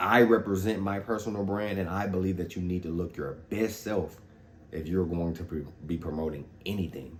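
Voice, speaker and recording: A man's very deep, low voice with a slight Louisiana accent, ordinary pitch variation and a moderate pace. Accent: Louisiana Southern accent, slight. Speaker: fitness vlogger. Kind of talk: casual vlog talk. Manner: casual, frequent fillers.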